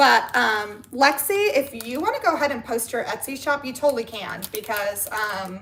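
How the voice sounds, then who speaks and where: A woman speaks fairly slowly at a high pitch, with noticeable background noise around her. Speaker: livestreamer. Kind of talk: casual chat. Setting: live stream. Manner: animated.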